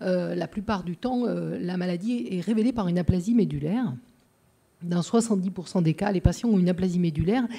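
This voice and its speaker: A woman with a Marseille accent, medium in pitch and somewhat breathy, with a dark, mellow tone, ordinary pitch variation and a fairly quick pace. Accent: southern French (Marseille). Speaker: pediatrician. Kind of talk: conference talk. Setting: lecture hall with audience. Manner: hesitant, many filler sounds.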